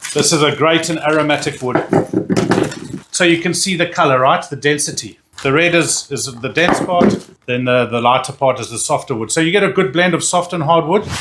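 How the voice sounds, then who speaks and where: Noticeable background noise sits behind a man with a South African accent. His fairly high voice shows ordinary pitch variation at a fairly quick pace. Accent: Afrikaans-tinged South African. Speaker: barbecue YouTuber. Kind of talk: product review tutorial. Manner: halting, repeats words; enthusiastic.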